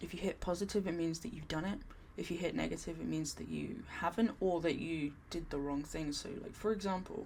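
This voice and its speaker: With vocal fry and a fairly low pitch, a woman speaks at a fairly quick pace with ordinary pitch variation. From England. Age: 30s. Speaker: productivity vlogger. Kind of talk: tutorial. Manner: halting.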